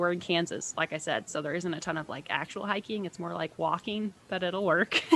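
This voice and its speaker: A woman's tone comes across bright and sharp. Her intonation stays fairly even. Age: 20s. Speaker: podcast co-host, career coach. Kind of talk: casual chat. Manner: casual, with filler words.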